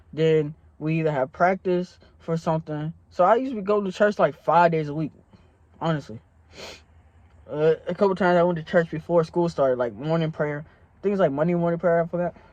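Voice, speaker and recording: A man speaks in a high pitch at a fairly quick pace, with an animated tone. His loudness swings widely while his pitch varies in an ordinary way. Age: 20s. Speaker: young pastor and vlogger. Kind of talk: testimony. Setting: in a car. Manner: casual, animated.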